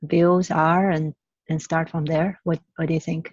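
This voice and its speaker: A woman talks with a Chinese accent at a fairly low pitch, her intonation monotone and flat. The sound is dry and close, with no echo. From China. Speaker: climate activist. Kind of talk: reflective dialogue. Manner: halting, many fillers.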